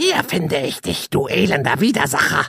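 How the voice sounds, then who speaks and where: A man uses a croaky, put-on character voice. He speaks at a fairly high pitch and a moderate pace. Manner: hostile, accusing.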